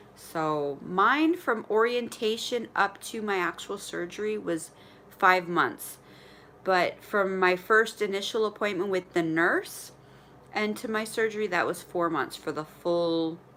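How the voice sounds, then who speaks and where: Here a woman speaks at medium pitch and a fairly slow pace with ordinary pitch variation. Her tone is bright and sharp. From Ontario, Canada. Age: 40s. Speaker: vlogger sharing weight-loss surgery journey. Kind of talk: live stream chat with viewers. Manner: stutters when nervous; casual, halting. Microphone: connectivity issues.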